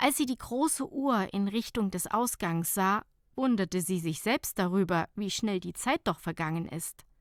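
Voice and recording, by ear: In a very clean recording with a silent background and a dry, close sound with no echo, a woman speaks at a medium pitch and a moderate pace with ordinary pitch variation.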